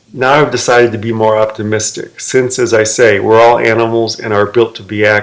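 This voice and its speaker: With noticeable background noise, a man speaks with an American accent and fairly even intonation. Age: 60s. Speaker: fitness video maker. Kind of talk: personal vlog monologue.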